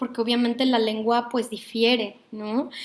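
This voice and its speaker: A woman speaks in a high, monotone voice with flat intonation. Her pace is moderate. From Mexico, Mexico City. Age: 30s. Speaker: psychologist and workshop leader. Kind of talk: online workshop lecture. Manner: hesitant, with many fillers.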